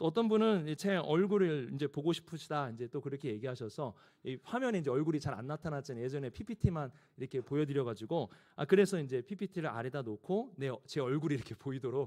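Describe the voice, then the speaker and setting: A man at a very fast pace, fairly high in pitch, with a dark, mellow tone and lively intonation. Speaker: pastor. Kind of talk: sermon. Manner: speeds up when excited.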